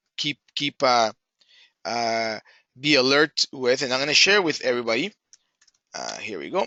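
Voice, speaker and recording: A man talks at medium pitch with ordinary pitch variation. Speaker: webinar host. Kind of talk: webinar presentation. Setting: online webinar. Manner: halting, many fillers; fast.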